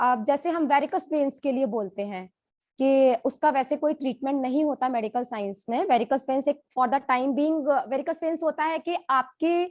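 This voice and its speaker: A woman talks fairly slowly in a high voice, with hardly any pauses and ordinary pitch variation. The sound is dry and close with no echo, over a quiet background. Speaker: doctor. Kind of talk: testimony.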